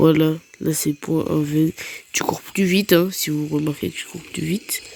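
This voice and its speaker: Soft-spoken and very deep in pitch, a woman talks at a fairly slow pace with monotone, flat intonation over noticeable background noise. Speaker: gaming YouTuber. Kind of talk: gameplay commentary.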